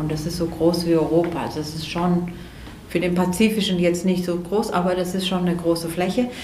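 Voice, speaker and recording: A woman with a fairly low pitch talks fairly quickly in a monotone, flat intonation, with audible room echo and noticeable background noise. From Greece (Athens). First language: Greek (speaking German). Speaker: ceramic artist. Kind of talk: interview. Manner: halting, many fillers.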